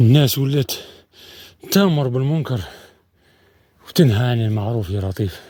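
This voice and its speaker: Speaking at a moderate pace with long, frequent pauses, a man with a medium-pitched, somewhat breathy voice and a dark, mellow tone uses lively intonation. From Algeria, Setif province. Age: 40s. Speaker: adventure vlogger. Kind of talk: outdoor travel vlog monologue. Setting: outdoors in mountains.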